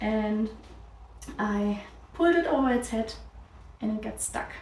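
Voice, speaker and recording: Amid noticeable background noise and audible room echo, a woman with a fairly high pitch speaks at a fairly slow pace. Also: ordinary pitch variation. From Germany. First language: German. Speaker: crafts podcaster. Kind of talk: casual chat. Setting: on camera.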